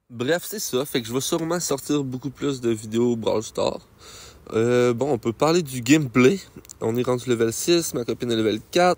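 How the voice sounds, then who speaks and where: A man with a Quebec accent, medium pitch, ordinary pitch variation and a moderate pace. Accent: Québécois French. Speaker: gaming youtuber. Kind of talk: gameplay commentary. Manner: animated.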